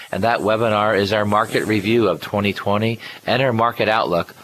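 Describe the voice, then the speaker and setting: Against noticeable background noise, a man speaks at a fairly quick pace in a fairly low pitch. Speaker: radio host and financial planner. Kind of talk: radio show talk. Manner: occasionally stumbles on words.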